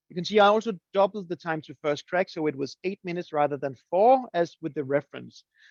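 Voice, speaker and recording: A man with a Danish accent at a fairly quick pace with hardly any pauses, in a dry sound with no echo and a quiet background. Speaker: coffee roasting teacher; presenter. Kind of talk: webinar presentation. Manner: halting, many fillers and repeats. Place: home room. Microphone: webcam.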